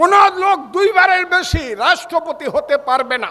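A man speaks in a raised, projected voice. His pitch is extremely high. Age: 70s. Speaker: politician. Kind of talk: political rally speech. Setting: outdoor night rally with crowd. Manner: loud; animated.

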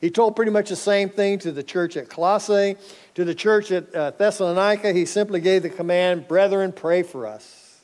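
With an American accent, a man speaks at a moderate pace and a high pitch, keeping his intonation fairly even. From North Texas. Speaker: pastor. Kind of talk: sermon. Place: church. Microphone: headset.

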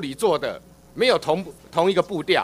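A man at a moderate pace with lively intonation. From Taiwan. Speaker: legislator; legislator questioning minister. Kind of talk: parliamentary interpellation. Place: hall. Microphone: podium.

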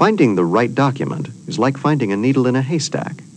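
A man with a medium-pitched voice talks at a fairly quick pace amid noticeable background noise. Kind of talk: 1989 corporate promo film narration. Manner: formal, measured and authoritative; polished, even-paced, and didactic.

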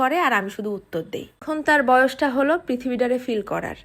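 With lively intonation, a woman talks in a high-pitched voice. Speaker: parenting vlogger, mother. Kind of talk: personal advice monologue.

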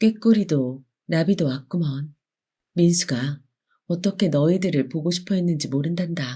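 A soothing tone at a fairly slow pace, on a very clean recording with a silent background. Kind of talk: bedtime story narration, gentle audiobook reading of a children's tale. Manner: soft, slow, soothing.

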